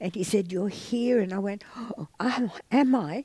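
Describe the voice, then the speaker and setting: With an Australian accent, a woman speaks at a fairly slow pace in a dark, mellow tone with lively intonation. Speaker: author and artist. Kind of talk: interview. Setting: theatre.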